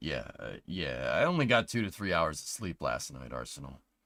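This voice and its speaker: This man has a bright, sharp tone. His voice carries vocal fry. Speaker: livestreamer reacting to rocket launch. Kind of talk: live stream chat. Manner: animated.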